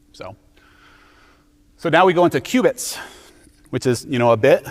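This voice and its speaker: This man's voice sits fairly high in pitch. His pitch swings very widely. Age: 40s. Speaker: conference speaker. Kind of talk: conference talk. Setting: stage with audience. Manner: fast; casual, halting.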